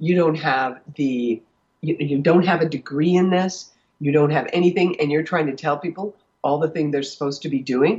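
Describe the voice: A woman speaks at a moderate pace in a low, slightly mellow voice with a slightly husky edge and ordinary pitch variation.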